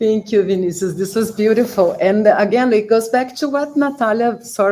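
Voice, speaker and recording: At a moderate pace, a woman with a Portuguese accent speaks in a fairly high pitch. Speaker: professor. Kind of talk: panel discussion. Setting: live-streamed online event.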